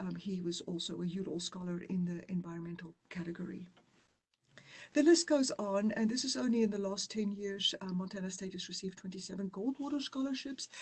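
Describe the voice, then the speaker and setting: A woman speaks at a fairly quick pace with a South African accent and lively intonation. Her voice sits at a medium pitch and is somewhat breathy. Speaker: university dean. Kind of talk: presentation. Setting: online webinar.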